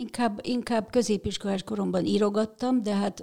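Using a dark, mellow tone with vocal fry, a woman speaks at a moderate pace and a medium pitch. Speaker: cinema manager and film festival organizer. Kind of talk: casual interview.

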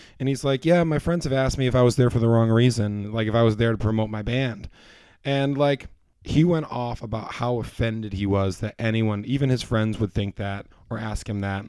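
A man with an American accent talks at a fairly quick pace. His tone is dark and mellow, with ordinary pitch variation. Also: medium pitch for a man. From US Northeast. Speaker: band musician and high school teacher. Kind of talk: casual chat.

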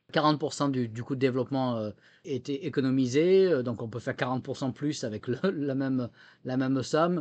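A man of medium pitch talks fairly slowly, varying his pitch in an ordinary way. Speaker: former military software chief. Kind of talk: interview. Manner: halting, many repetitions and fillers.

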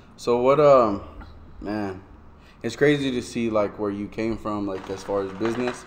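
A man with an American accent speaks at a moderate pace and a fairly low pitch. His pitch varies in an ordinary way, and there's noticeable background noise. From US Southwest, southwest Albuquerque, New Mexico. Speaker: podcast host. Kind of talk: casual chat.

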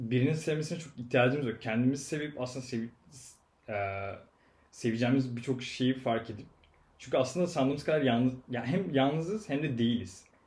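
A man's somewhat breathy, medium-pitched voice at a fairly quick pace, with ordinary pitch variation. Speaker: podcast guest. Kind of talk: casual chat.

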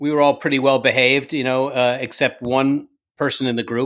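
On a very clean recording with a silent background, a man speaks at a moderate pace and medium pitch in an unremarkable speaking voice. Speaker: TV director telling production stories. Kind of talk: casual chat, interview. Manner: profane, storytelling.

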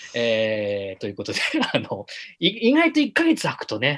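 In an animated, playful tone, a man talks at a medium pitch with ordinary pitch variation. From Japan, Yamanashi (Minami-Alps). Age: 30s. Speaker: film director and podcast host. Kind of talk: casual chat, live-streamed talk show. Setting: live stream.

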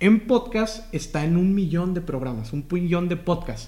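Over noticeable background noise, a man talks in a northern Mexican accent at a moderate pace with ordinary pitch variation. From Mexico, Matamoros, Tamaulipas. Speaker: podcast host. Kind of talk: casual interview chat.

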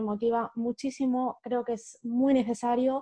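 A woman speaks with a high pitch and monotone, flat intonation. Her tone is dark and mellow. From Spain, Madrid region (Humanes, south of Madrid). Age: 30s. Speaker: author and educator. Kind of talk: interview conversation.

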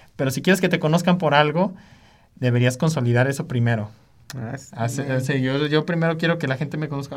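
A man speaks at a fairly quick pace with a fairly high pitch and lively intonation. His voice is somewhat breathy, and its loudness swings widely. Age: 20s. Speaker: music producer and DJ. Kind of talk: casual interview.

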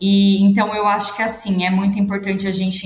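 Noticeable background noise behind a woman speaking in a medium pitch. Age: 20s. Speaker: business administrator, career guest. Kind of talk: interview.

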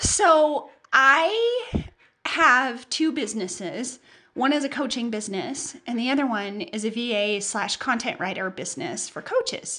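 Using a raised, projected voice, a woman speaks at a high pitch with lively intonation. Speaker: podcast host and business mentor. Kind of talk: casual solo podcast monologue. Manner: chatty, with fillers.

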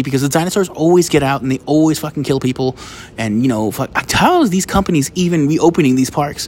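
A man with an American accent talks at a very fast pace in a fairly high pitch, with ordinary pitch variation. Noticeable background noise is present. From United States. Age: 30s. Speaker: podcaster and stand-up comedian. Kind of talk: casual monologue. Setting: outdoors.

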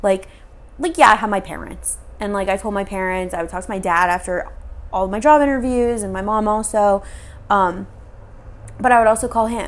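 This woman talks at a fairly quick pace with a medium pitch and ordinary pitch variation. Her loudness swings widely, and she takes long, frequent pauses. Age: 20s. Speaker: podcast host. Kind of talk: casual chat.

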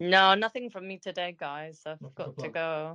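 A bright, sharp tone at a fairly slow pace, with ordinary pitch variation, big swings in loudness, and a dry, close sound with no echo against a quiet background. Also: woman. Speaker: podcast guest; psychotherapist.

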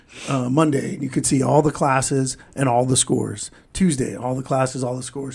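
With vocal fry and a medium pitch, a man speaks fairly quickly and fairly evenly, with hardly any pauses. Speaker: podcast host. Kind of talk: casual podcast banter.

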